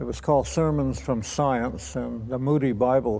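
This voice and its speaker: With audible room echo, a man speaks at a medium pitch and a moderate pace. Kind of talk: testimony. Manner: halting.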